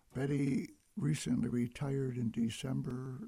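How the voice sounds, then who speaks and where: This man has a Midwestern American accent, a medium pitch, a dark, mellow tone, a somewhat breathy quality, and fairly even intonation. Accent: Midwestern American, radio voice. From US, Detroit. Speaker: radio host. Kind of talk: radio interview. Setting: radio studio.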